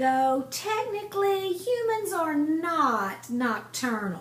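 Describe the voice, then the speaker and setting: A quiet, high-pitched put-on character voice with very wide pitch swings, at a very slow pace over clear background noise. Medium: read story. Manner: quiet, stern.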